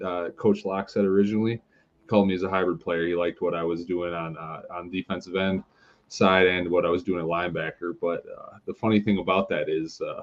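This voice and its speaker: A man's very deep, low voice with a slight Wisconsin accent, fairly quick and monotone, with flat intonation. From Milton, Wisconsin, US Midwest. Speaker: indoor football player. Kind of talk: podcast interview. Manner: halting, many fillers.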